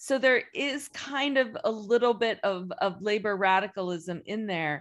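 A woman's medium-pitched voice, lively in intonation, at a very slow pace against a quiet background. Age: 50s. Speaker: film studies professor. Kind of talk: casual chat.

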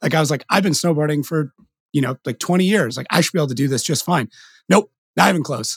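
A man's fairly high, somewhat breathy voice at a very fast pace. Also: ordinary pitch variation. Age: 30s. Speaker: podcast host. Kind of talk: casual chat. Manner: animated.

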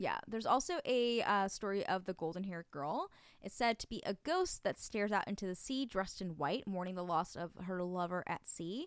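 A woman's medium-pitched, ordinary speaking voice with an American accent, at a fairly quick pace with ordinary pitch variation, on a very clean recording with a silent background. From New Jersey. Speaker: podcast co-host. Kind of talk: casual chat.

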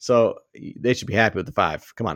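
With a Boston accent, a man speaks fairly quickly at a medium pitch against a quiet background. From Boston, US. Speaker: fantasy football podcast host. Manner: jokey, laughs often.

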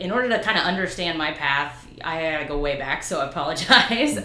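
A woman speaks at a fairly slow pace with very wide pitch swings, amid audible room echo and noticeable background noise. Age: 30s. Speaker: PhD candidate and former special education teacher. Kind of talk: interview.

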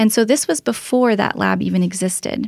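Over a silent background in a very clean recording, a woman speaks in a Canadian accent with a somewhat breathy voice. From Ontario, Canada (Oakville). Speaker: research scientist. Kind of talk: interview.

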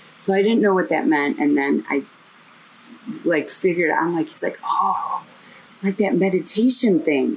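Over noticeable background noise, a woman with a fairly low voice speaks at a moderate pace with lively intonation. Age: 50s. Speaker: meditation teacher. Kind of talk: casual chat; guided meditation. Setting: outdoors.

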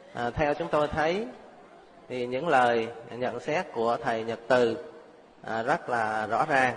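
At a fairly slow pace, a man speaks at medium pitch with ordinary pitch variation and long, frequent pauses. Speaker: Buddhist monk. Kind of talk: closing remarks. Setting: stage with audience.

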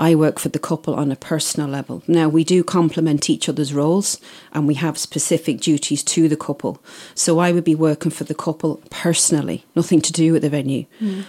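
The recording is very clean with a silent background. A woman with a very deep, low pitch and a dark, mellow tone talks at a fairly quick pace in a monotone, flat intonation. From Isle of Man. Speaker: wedding planner. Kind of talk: interview.

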